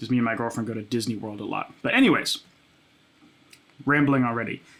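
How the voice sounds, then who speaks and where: A man talking at a very fast pace, with fairly even intonation. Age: 20s. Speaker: music producer and content creator. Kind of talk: casual chat. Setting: home studio. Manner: casual, many filler words.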